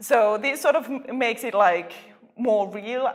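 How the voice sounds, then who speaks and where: With lively intonation, the voice proceeds at a moderate pace. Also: woman. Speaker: postdoctoral plant researcher. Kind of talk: interview. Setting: conference.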